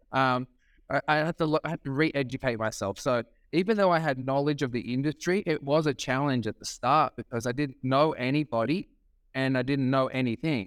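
A man with an Australian accent speaks at a fairly quick pace and medium pitch in an animated tone, on a very clean recording with a silent background. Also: dry, close sound with no echo. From Sydney, Australia. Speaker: real estate auctioneer. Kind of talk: casual interview chat. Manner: animated, talkative.

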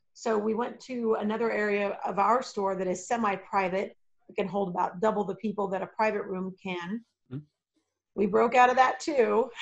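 Speaking at a moderate speed with a medium pitch and fairly flat intonation, a woman has an unremarkable speaking voice. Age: 40s. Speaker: game store owner. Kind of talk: casual chat.

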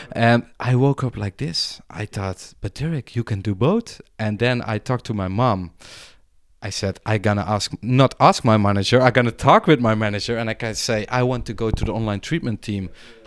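Recorded very cleanly with a silent background and a dry, close sound with no echo, a man speaks at a medium pitch and a moderate pace with ordinary pitch variation. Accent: Dutch. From Netherlands. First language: Dutch. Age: 30s. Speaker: mental health worker. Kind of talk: casual chat. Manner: hesitant, many fillers.

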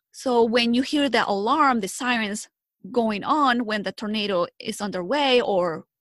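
A woman with a Spanish accent speaks at a fairly slow pace in a fairly high pitch with ordinary pitch variation. The recording is very clean, with a silent background. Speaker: health educator. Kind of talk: interview.

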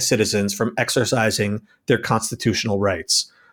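A man at a moderate pace on a very clean recording with a silent background. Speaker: podcast co-host and political director. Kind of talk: angry rant. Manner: furious, profane, heated; emphatic.

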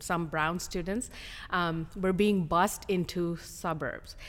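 A woman's unremarkable speaking voice with a fairly low pitch. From India (Hyderabad), moved to US as a teen. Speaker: school district administrator, former principal. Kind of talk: interview conversation.

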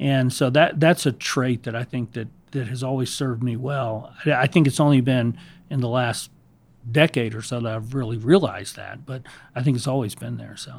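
A man with an American accent, medium pitch, fairly even intonation, moderate pace and big swings in loudness, an unremarkable speaking voice, on a very clean recording with a silent background. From US South, Savannah, Georgia. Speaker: business consultant. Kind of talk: interview.

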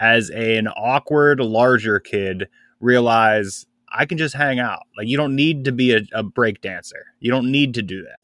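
A man speaks at medium pitch in a plain, everyday voice with ordinary pitch variation. The recording is very clean, with a silent background. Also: dry, close sound with no echo. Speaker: podcast co-host and editor. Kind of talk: casual chat.

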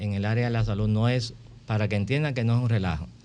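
The speaker is a man with a medium-pitched voice. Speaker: physician, former medical association president. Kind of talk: radio interview.

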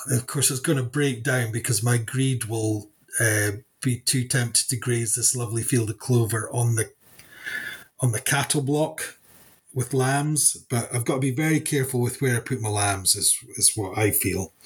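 The speaker has a Scottish accent and a somewhat breathy voice. The pace is moderate, with ordinary pitch variation. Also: man, medium pitch for a man. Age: 50s. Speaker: farmer and agricultural consultant. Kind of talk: casual interview chat.

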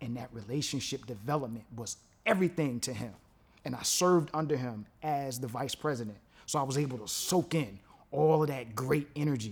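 A man with a New York accent at a medium pitch and fairly quick pace, animated in tone with ordinary pitch variation. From Brooklyn, New York. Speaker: DJ. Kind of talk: testimony.

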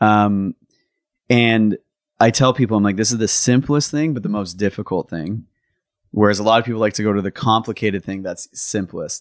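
On a very clean recording with a silent background, a man speaks at a moderate pace in an unremarkable speaking voice, fairly low in pitch with ordinary pitch variation. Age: 30s. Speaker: podcast host. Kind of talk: casual interview chat. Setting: studio recording on camera, no headset.

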